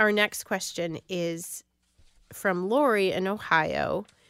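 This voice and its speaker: The voice moves at a very slow pace with ordinary pitch variation and a bright, sharp tone. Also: woman, long, frequent pauses. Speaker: radio co-host reading listener questions. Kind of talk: call-in radio Q&A.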